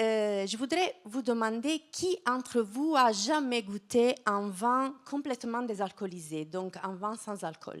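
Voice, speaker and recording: In an Italian accent, a woman with a fairly high pitch speaks at a very slow pace. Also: lively intonation. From southern Italy, Apulia. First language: Italian (speaking French). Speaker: wine science researcher. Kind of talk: lecture. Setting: stage with audience. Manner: halting, many hesitations.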